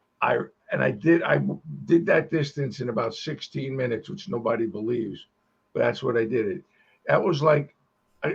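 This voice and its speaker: A man talks at a moderate pace with vocal fry and lively intonation. His speech has long, frequent pauses. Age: 70s. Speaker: podcast co-host. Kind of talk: casual chat.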